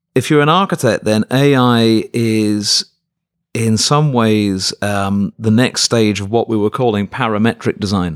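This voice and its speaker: A man talks at a medium pitch and a fairly slow pace, with ordinary pitch variation. The recording is very clean and dry, close-miked with no echo and a silent background. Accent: British. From Birmingham, England. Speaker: professor. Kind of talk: interview.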